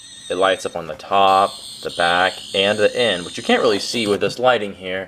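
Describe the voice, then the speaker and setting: With noticeable background noise, a man of fairly low pitch talks at a fairly quick pace. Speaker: prop maker demonstrating his product. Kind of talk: tutorial. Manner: fast; casual with frequent fillers.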